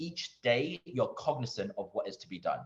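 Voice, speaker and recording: A man talks at a fairly quick pace. He has a London accent. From East London. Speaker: doctor and medical school interviewer. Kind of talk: Q&A at online conference.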